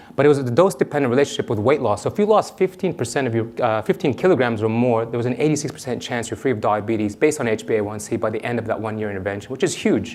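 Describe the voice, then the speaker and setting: A man rushes along at a very fast pace while noticeable background noise sounds behind him. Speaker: endocrinologist. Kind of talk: conference talk. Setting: stage with audience.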